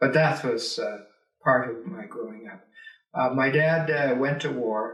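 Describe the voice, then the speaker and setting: A man's medium-pitched voice with a Canadian Prairies accent, in audible room echo. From rural Alberta, Canada. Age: 70s. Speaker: retired teacher and politician. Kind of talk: oral history interview. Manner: hesitant, many filler words.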